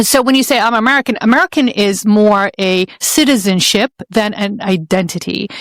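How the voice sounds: An Arabic accent at a moderate pace with ordinary pitch variation, in dry, close sound with no echo. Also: woman.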